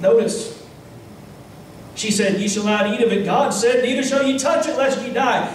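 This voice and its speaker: A man with an American accent and an extremely high pitch, light background noise and audible room echo. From United States, Kentucky. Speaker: Baptist pastor. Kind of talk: sermon preaching to a congregation. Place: church.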